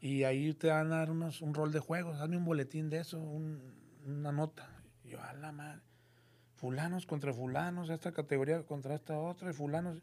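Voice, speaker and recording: A man with a northern Mexican accent talks at a moderate pace in a fairly high pitch. His intonation is monotone and flat. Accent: northern Mexican (norteño) Spanish. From Monterrey, Mexico. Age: 50s. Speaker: crime reporter. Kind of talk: casual chat. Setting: studio.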